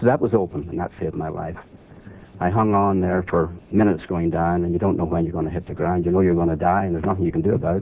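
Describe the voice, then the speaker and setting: In a Northern Irish accent, a man with a very deep, low voice speaks very fast with fairly even intonation. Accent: Northern Irish (Belfast). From Northern Ireland, Belfast. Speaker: war veteran and author. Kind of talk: interview storytelling.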